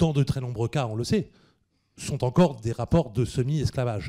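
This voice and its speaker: At a moderate pace, a man speaks with a medium pitch. His voice is somewhat breathy, with a dark, mellow tone. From northern France (Picardy). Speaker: history professor. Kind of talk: Q&A after a public lecture. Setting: cinema hall with audience. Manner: hesitant, many fillers.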